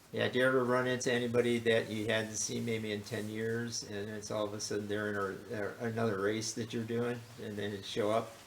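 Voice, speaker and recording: At a medium pitch, a man talks at a fairly quick pace with hardly any pauses. His intonation stays flat and monotone, and there is audible room echo. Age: 70s. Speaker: podcast host. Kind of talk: casual chat. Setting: interview at guest's home.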